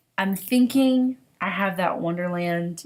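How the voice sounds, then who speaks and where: A woman's voice in a Southern US accent with lively intonation. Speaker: knitting podcaster. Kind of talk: casual vlog monologue. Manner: chatty, halting with fillers.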